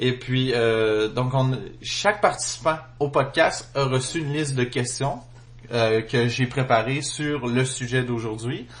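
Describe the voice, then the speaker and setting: A man with a Quebec accent at a very slow pace, with ordinary pitch variation. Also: medium pitch for a man. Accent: Québécois. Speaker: podcast host. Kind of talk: casual chat. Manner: hesitant, many fillers.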